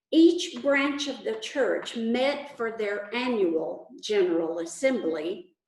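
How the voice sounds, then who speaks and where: A woman with a Texas accent and a high pitch speaks at a very slow pace, with very wide pitch swings and a dark, mellow tone. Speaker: pastor. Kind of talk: sermon.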